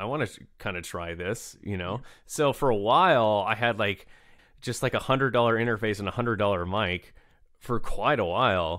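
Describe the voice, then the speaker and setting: A plain, everyday voice with an American accent, a fairly quick pace and ordinary pitch variation. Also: man, fairly low pitch for a man. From United States. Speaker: saxophonist, wind player, composer. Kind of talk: interview answer.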